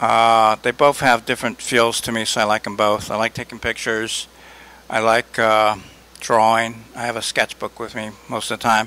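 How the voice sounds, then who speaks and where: In a dry, close recording with no echo, a man with an American accent speaks in a relaxed tone with monotone, flat intonation. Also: medium pitch for a man, moderate pace. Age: 60s. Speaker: artist. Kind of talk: interview. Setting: art gallery. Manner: relaxed, with frequent fillers.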